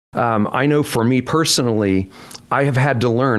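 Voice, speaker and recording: A man speaks at a moderate pace and with ordinary pitch variation while noticeable background noise carries on. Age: 70s. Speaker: pastor. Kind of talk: interview. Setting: podcast.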